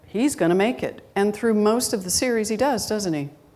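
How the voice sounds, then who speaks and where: Audible room echo surrounds the voice of a woman. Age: 60s. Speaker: guest minister. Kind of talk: sermon. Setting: church with live congregation. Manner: conversational.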